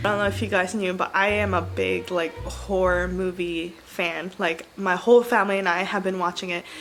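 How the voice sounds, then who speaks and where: With music in the background, a woman speaks with hardly any pauses. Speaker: book vlogger. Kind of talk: casual vlog. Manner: fast.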